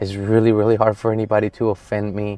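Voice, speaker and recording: With a Spanish accent, a man speaks at a fairly low pitch and a moderate pace. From Colombia. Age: 30s. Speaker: real estate agent. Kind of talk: casual personal vlog.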